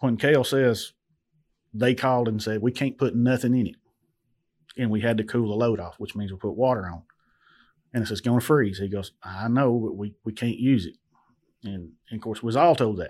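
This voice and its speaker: Someone with a Southern US accent speaks at a fairly quick pace with ordinary pitch variation and long, frequent pauses, in a very clean recording with a silent background. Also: man, medium pitch for a man. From western Tennessee. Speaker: owner-operator truck driver. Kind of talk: casual interview. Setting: studio.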